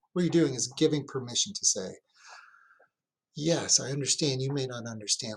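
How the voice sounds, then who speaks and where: Here is a man with a fairly high pitch. His voice is somewhat breathy. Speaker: fire chief giving a training presentation. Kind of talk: lecture. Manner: animated.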